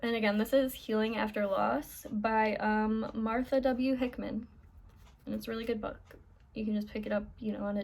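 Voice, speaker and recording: This woman's voice sits fairly high and sounds somewhat breathy. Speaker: vlogger. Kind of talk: casual chat. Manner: halting.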